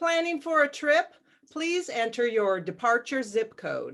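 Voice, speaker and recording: Robotic put-on character voice from a woman, high in pitch, at a fairly slow pace. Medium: audio drama. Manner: polite, flat, robotic.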